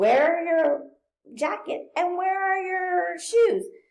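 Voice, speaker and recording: Putting on a squeaky character voice, a woman speaks at a very slow pace with an extremely high pitch. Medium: read story. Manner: firm, motherly.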